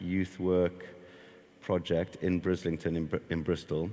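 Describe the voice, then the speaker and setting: A man speaks with a very deep, low pitch. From South Africa. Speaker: skate park founder and youth worker. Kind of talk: interview.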